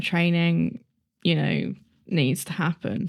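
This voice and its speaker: With a British accent, a woman speaks at a moderate pace in a fairly low pitch, keeping her intonation fairly even. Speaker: true crime podcast co-host. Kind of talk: casual chat.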